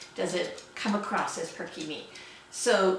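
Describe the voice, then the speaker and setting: Noticeable background noise and audible room echo surround the woman as she speaks. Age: 60s. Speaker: sewing vlogger. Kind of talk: casual chat. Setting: home sewing studio.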